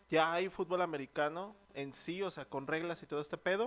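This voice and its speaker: A man with a Mexican accent speaks at a high pitch with ordinary pitch variation. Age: 20s. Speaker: podcast co-host. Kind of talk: casual chat. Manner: animated.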